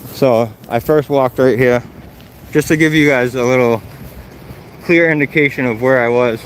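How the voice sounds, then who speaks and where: The loudness stays very even, with fairly even intonation throughout. Long pauses come often over noticeable background noise. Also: man, medium pitch for a man, moderate pace. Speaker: first amendment auditor. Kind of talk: casual talk to camera.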